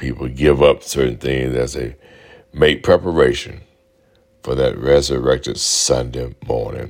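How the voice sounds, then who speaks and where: In a Southern US accent, a man speaks fairly slowly with a very deep, low pitch and monotone, flat intonation. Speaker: pastor. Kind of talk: sermon, preached radio message with call-and-response. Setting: radio broadcast.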